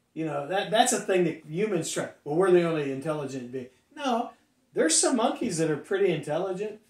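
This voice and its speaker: A man with an American accent speaks in a high pitch with lively intonation. The background is quiet, with audible room echo. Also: fairly quick pace. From US Midwest, Ohio Valley. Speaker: pastor; pastor, podcast co-host. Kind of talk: casual chat. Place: studio.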